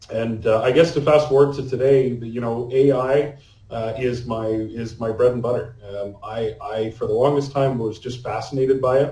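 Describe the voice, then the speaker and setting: The voice is somewhat breathy, with a dark, mellow tone and a Canadian accent. It moves at a moderate pace. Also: man. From Canada. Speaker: AI consultant. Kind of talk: podcast interview. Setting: remote call.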